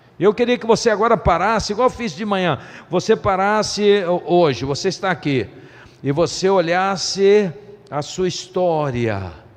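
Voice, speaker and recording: Lively intonation marks this man's high-pitched delivery at a fairly slow pace. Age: 60s. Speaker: pastor. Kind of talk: sermon.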